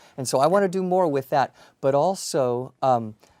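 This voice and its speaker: Speaking at a moderate pace with an American accent, a man uses a fairly high pitch, a dark, mellow tone and lively intonation. The recording is very clean with a silent background. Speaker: university dean. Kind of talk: interview.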